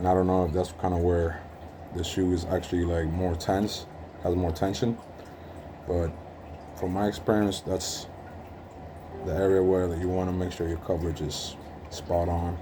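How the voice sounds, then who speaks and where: A man with a very deep, low pitch and a dark, mellow, somewhat breathy tone, monotone and flat, at a moderate pace with long, frequent pauses and audible room echo. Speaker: hobbyist sneaker restorer. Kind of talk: tutorial. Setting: working at home. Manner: casual with frequent fillers.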